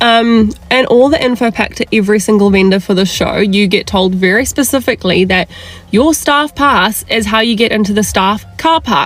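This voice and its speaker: In a New Zealand accent, a woman with a fairly high voice speaks at a moderate pace, with ordinary pitch variation, very even loudness and noticeable background noise. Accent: New Zealand (Kiwi). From South Africa. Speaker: events industry worker. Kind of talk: casual rant to camera. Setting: in a car.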